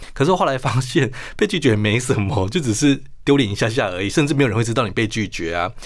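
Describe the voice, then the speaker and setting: A man talks very fast at a medium pitch with lively intonation. The recording is very clean, with a silent background. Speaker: international news journalist. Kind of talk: radio interview.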